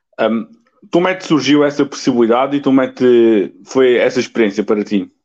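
A man talks fairly quickly at a medium pitch with ordinary pitch variation. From Alentejo, Portugal. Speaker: podcast host. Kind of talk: interview. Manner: halting.

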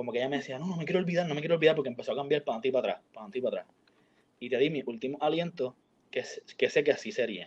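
At a very fast pace, a man with a fairly high pitch speaks with ordinary pitch variation and big swings in loudness. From Puerto Rico, San Juan. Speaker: university student. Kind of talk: casual chat.

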